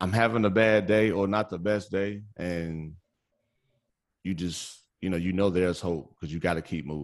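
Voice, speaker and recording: Loud male speech with an American accent, very deep and low in pitch, ordinary pitch variation, moderate pace, very clean recording with a silent background. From Chicago area, Indiana. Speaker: podcast guest, sports podcaster. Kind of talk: casual podcast interview.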